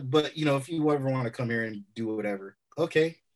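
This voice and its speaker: A man with an American accent has an unremarkable speaking voice at a medium pitch. He keeps a moderate pace and ordinary pitch variation against a quiet background. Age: 40s. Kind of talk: casual chat.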